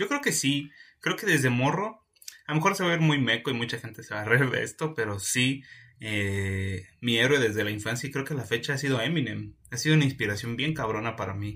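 A man with a Mexican accent, a medium pitch, a bright, sharp tone and lively intonation, at a fairly quick pace. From Mexico, Oaxaca. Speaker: podcast co-host. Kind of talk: casual chat.

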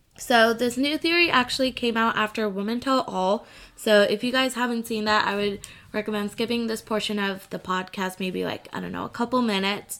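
Using a plain, everyday voice, a woman talks at a fairly high pitch and a fairly quick pace with ordinary pitch variation. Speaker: podcast host. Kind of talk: casual chat.

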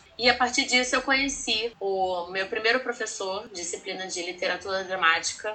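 With a Rio de Janeiro accent, a woman talks at a fairly quick pace in a medium-pitched voice. Her pitch varies in an ordinary way, and noticeable background noise can be heard. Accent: Carioca Brazilian Portuguese. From Rio de Janeiro, Brazil. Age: 30s. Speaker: teacher. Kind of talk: podcast interview.

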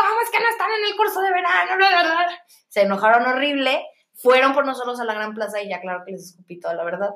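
A woman speaks very fast in a high pitch with very wide pitch swings. Her loudness rises and falls in big swings. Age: 30s. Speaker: podcast co-host. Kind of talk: casual chat.

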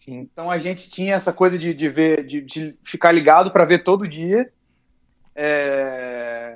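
This man's loudness swings widely. His pitch varies in an ordinary way. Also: fairly slow pace. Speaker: podcast guest. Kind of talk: casual chat.

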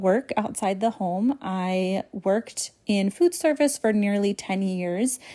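Very slowly, a woman speaks in a dark, mellow tone with lively intonation. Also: very clean recording, silent background. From New England. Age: 20s. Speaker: podcast host, online ministry founder. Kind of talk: casual monologue. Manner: rambling, tangential; frequent fillers and laughter.

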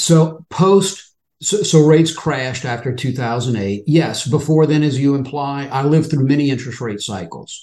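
A man speaks with a dark, mellow tone at a fairly high pitch. He barely pauses, and his pitch varies in an ordinary way. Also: moderate pace. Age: 60s. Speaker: retail options trader, retired financial services professional. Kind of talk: interview.

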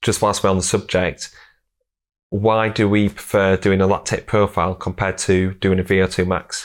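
A man with a Yorkshire accent speaks at a moderate pace in a fairly low voice, with monotone, flat intonation and very even loudness, on a very clean recording with a silent background. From Yorkshire, England. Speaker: strength and conditioning coach, podcast host. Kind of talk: casual interview chat; sponsor read.

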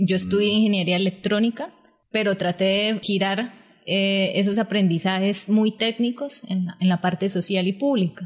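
Somewhat breathy, the voice moves at a moderate pace with fairly even intonation. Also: woman, medium pitch for a woman. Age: young. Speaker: social leader and public management expert. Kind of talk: interview, explaining policy.

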